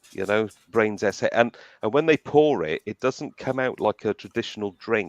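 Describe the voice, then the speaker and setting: In a dry, close recording with no echo, a man with a South Wales accent speaks at a moderate pace in a fairly low voice with ordinary pitch variation. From Wales (South Wales, Cardiff / Barry Island). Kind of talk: casual chat. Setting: live stream show. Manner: halting, many repeated words.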